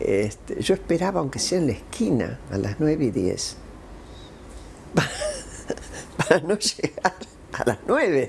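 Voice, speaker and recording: A woman talks fairly slowly, breaking often into long pauses, as noticeable background noise continues. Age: 80s+. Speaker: interviewee. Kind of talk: testimony.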